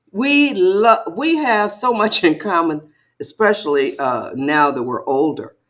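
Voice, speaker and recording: A woman with an American accent speaks at a fairly slow pace in a medium pitch, her voice showing vocal fry and very wide pitch swings. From Detroit, Michigan. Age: 70s. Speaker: author. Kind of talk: interview. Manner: animated.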